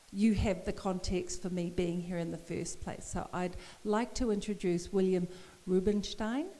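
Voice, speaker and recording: Amid audible room echo, a woman with a New Zealand accent speaks with ordinary pitch variation. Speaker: poet and professor. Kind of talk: public conversation.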